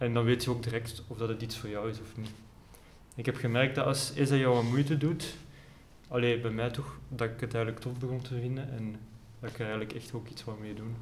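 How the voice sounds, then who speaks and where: With a Flemish accent, a man talks at a fairly quick pace amid audible room echo and noticeable background noise. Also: medium pitch for a man, fairly even intonation. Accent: Flemish Dutch. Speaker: student and amateur pianist. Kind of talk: casual chat. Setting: library.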